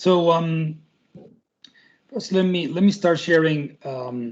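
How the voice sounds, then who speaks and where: Ordinary pitch variation from a male voice with a Spanish accent. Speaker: tech company representative. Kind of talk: presentation. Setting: video call. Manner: halting, many repetitions and fillers.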